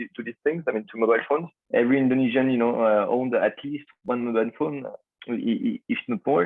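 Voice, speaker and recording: With a French accent, a man talks at a fairly quick pace and a medium pitch. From France. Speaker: startup founder. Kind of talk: podcast interview. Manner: halting, many fillers.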